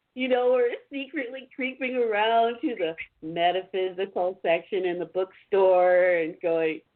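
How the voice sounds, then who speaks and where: A woman with an ordinary speaking voice talks at a medium pitch. Her pace is fairly slow and her intonation lively. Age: 60s. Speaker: author and practicing witch. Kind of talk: casual chat.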